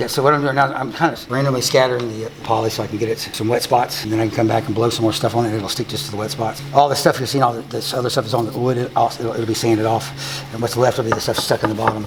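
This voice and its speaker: Over noticeable background noise, a man races along at a very fast pace with hardly any pauses and fairly even intonation. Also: medium pitch for a man. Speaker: woodworking artist. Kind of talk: casual chat.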